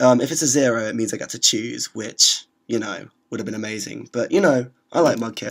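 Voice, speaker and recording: A man with a British accent speaks at a fairly quick pace, with ordinary pitch variation and big swings in loudness. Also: medium pitch for a man. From Britain. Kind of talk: gameplay commentary. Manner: hesitant, filler-heavy.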